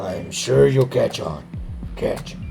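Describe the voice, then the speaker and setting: Over clear background noise, a man puts on a raspy character voice. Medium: solo performance. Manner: cryptic, terse.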